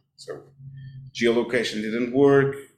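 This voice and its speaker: At a fairly slow pace, a man speaks with a Portuguese accent. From Portugal, Cascais. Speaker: deputy mayor. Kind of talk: interview. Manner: halting, with many repeated words.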